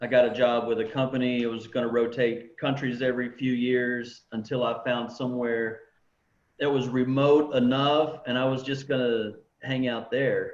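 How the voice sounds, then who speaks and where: Monotone, flat delivery at a moderate pace in a Texan accent, with audible room echo. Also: man, medium pitch for a man. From Texas. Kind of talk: casual chat. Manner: casual, filler-heavy.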